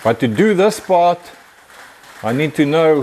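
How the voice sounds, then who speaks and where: Noticeable background noise surrounds the speaker, a man. His pitch varies in an ordinary way. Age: 60s. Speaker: car builder. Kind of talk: workshop build video.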